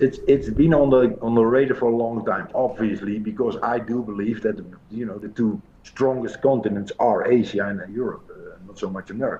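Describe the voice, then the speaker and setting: With a Dutch accent, a man talks in a medium pitch with ordinary pitch variation and big swings in loudness. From Netherlands. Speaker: pool coach. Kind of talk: interview. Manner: hesitant, many fillers.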